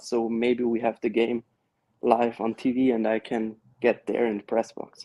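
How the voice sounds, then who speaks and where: A man with an Austrian accent has a dark, mellow tone, heard as a dry, close sound with no echo. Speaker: caller, TV broadcast worker. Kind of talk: phone-in call.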